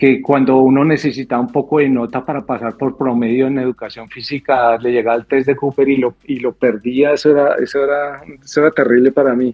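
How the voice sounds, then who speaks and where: Man with a Bogotá accent, medium pitch, fairly quick pace, monotone, flat intonation and hardly any pauses. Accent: Bogotá Colombian. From Colombia, Bogotá. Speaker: airline pilot, former air force officer. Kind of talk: podcast interview. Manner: halting, repeats words.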